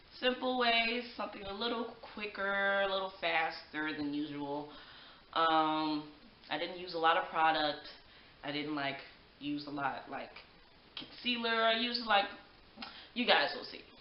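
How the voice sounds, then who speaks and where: Audible room echo and light background noise surround a woman with a fairly low pitch and lively intonation. She speaks at a fairly slow pace, with big swings in loudness and long, frequent pauses. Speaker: beauty vlogger. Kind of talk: makeup tutorial. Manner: projecting loudly; animated. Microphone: poor audio, microphone battery needs replacing; webcam.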